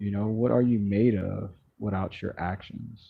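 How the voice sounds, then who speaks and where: A man speaks in a relaxed tone. His voice is somewhat breathy. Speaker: live streamer. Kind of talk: casual live stream chat. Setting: outdoors. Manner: relaxed, sleepy-sounding.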